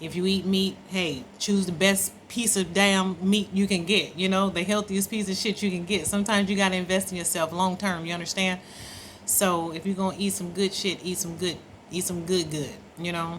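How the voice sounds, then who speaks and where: With an American accent, a woman speaks at a moderate pace in a medium pitch, her intonation monotone and flat and her voice somewhat breathy. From Oakland, California. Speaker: travel vlogger. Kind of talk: casual vlog monologue. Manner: casual, conversational, frequent fillers.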